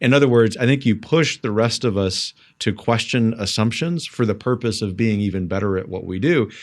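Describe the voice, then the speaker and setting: An unremarkable speaking voice at a fairly quick pace with hardly any pauses, ordinary pitch variation, and a very clean recording against a silent background. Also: man, medium pitch for a man. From US South. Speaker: podcast host. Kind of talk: interview podcast.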